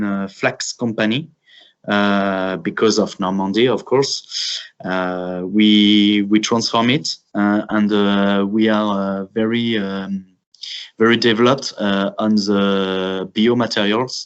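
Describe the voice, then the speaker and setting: At a very slow pace, a man with a French accent speaks in a fairly low pitch with fairly even intonation. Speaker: grain cooperative representative. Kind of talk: webinar presentation. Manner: halting, many filler sounds.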